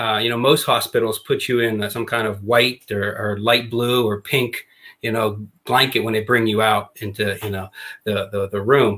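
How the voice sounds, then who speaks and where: This speaker has a slight Pittsburgh accent and talks at a moderate pace in a monotone, flat delivery. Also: man, medium pitch for a man. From Western Pennsylvania, near Pittsburgh. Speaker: former basketball coach and author. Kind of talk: podcast interview.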